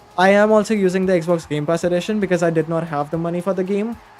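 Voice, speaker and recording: A man's high-pitched voice at a fairly quick pace over noticeable background noise. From India. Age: young. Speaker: gaming streamer. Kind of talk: live game stream chat. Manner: casual, halting.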